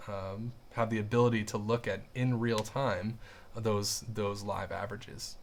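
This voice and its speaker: Speech comes at a fairly slow pace in a flat monotone, with light background noise. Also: man. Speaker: audio software instructor. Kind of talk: webinar lecture. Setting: online webinar. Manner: hesitant with many fillers.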